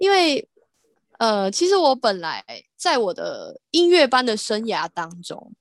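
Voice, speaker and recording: A woman speaks very slowly at a high pitch, her voice making very wide pitch swings. The sound is dry and close, with no echo. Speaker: visually impaired harpist and singer. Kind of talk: casual interview chat.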